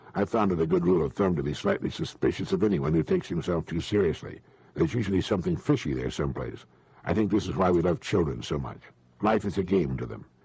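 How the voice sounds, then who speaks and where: This man speaks very fast in a very deep, low pitch, his dark, mellow tone carrying vocal fry and lively intonation. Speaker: motivational speaker. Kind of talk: motivational talk / speech. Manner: measured, conversational, earnest.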